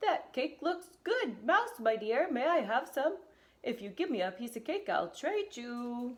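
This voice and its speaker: In a put-on character voice, a woman speaks at a high pitch and a fairly slow pace. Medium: read story.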